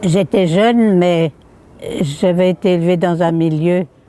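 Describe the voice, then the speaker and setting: A woman's fairly low voice at a very slow pace, with ordinary pitch variation, a dry, close sound with no echo, and noticeable background noise. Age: 90s. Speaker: elderly woman recalling first vote. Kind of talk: interview testimony.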